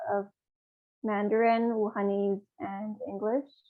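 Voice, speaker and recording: With a Canadian accent, a woman speaks at a fairly high pitch. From Canada, born in Hubei, China. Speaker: social services advocate, former city council candidate. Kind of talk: interview.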